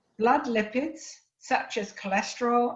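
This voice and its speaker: A woman with an English accent speaks at a fairly high pitch, and the room echo is audible. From England. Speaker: nutrition specialist. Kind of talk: lecture. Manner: formal.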